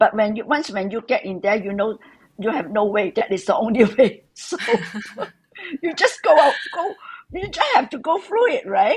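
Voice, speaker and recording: The pitch swings very widely at a moderate pace, broken by long, frequent pauses. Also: woman, fairly high pitch for a woman. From Hong Kong. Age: 70s. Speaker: interview guest, mother-in-law of host. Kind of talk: casual interview chat. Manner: halting; joyful, laughing.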